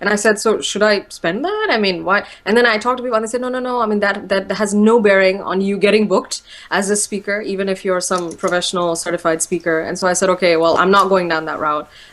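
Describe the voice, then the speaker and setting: Speaking very fast with fairly even intonation, a woman with a medium-pitched voice is heard over noticeable background noise. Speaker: motivational speaker. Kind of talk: interview.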